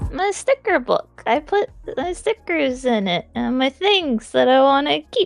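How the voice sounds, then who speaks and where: A woman's put-on character voice, high-pitched with very wide pitch swings, at a moderate pace over background music. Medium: actual play.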